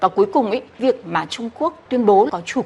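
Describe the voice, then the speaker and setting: A woman talks at a fairly quick pace with lively intonation. Noticeable background noise can be heard. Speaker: legal expert interviewee. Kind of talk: radio interview answer.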